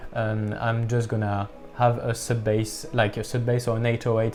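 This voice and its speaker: A man speaking at a moderate pace in a medium pitch, with music in the background. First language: not English. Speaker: music producer youtuber. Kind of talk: tutorial. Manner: halting.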